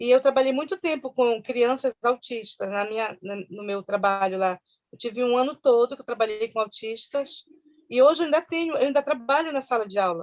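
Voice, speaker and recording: This woman has a high pitch with ordinary variation and talks at a moderate pace. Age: 60s. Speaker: schoolteacher. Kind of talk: interview testimony.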